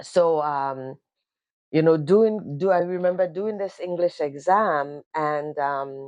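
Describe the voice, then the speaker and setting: A woman with a Caribbean accent speaks at a very slow pace in a very deep, low pitch with ordinary pitch variation. The background is quiet. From Grenada. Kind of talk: casual talk to camera. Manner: hesitant, conversational.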